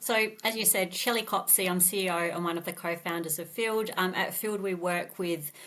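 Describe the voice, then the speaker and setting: With an Australian accent, a woman talks at a moderate pace in a fairly low pitch. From Australia, Adelaide. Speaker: tech company CEO. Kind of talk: podcast interview.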